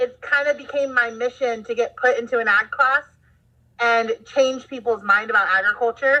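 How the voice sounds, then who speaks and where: A woman speaks at a high pitch with a slight Southern US accent and a bright, sharp tone. Her pace is moderate and her pitch varies in an ordinary way. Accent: slight Southern twang at times. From Southern California. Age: 20s. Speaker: agriculture teacher. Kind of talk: casual interview chat.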